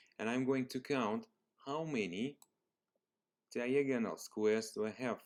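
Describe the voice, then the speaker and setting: In a Russian accent, a man talks at a fairly slow pace. His pitch sits in the medium range. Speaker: math teacher. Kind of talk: tutorial. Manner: slow, explanatory.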